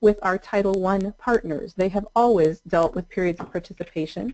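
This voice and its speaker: This woman's voice has a dark, mellow tone. Her pitch moves with ordinary variation. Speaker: adult education trainer. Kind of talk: webinar presentation. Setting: online webinar. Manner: fast.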